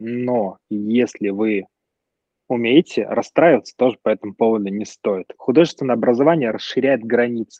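At a moderate pace, a man speaks in a plain, everyday voice of medium pitch, with ordinary pitch variation. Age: 30s. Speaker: graphic designer. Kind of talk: casual chat.

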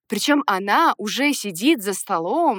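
This woman has an unremarkable speaking voice and lively intonation, recorded with a dry, close sound and no echo. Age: 30s. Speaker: podcast co-host. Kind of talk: casual chat.

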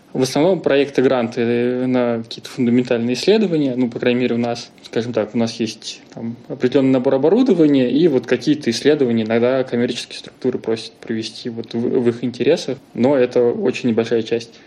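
A man of medium pitch speaks at a fairly quick pace with fairly even intonation over noticeable background noise. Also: hardly any pauses. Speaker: scientist. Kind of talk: casual chat.

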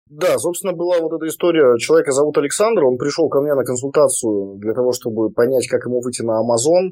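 Lively intonation marks a man talking at a very fast pace. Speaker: online seller and trainer. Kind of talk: interview.

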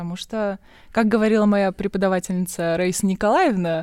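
Recorded very cleanly against a silent background, a woman talks fairly quickly at a medium pitch with ordinary pitch variation. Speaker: podcast co-host, journalist. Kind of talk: casual chat.

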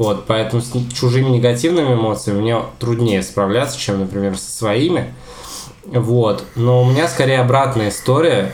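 A man talks at a moderate pace, his pitch medium with ordinary variation. Noticeable background noise runs behind him. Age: 20s. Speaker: history teacher and podcast co-host. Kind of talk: casual chat. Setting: home kitchen.

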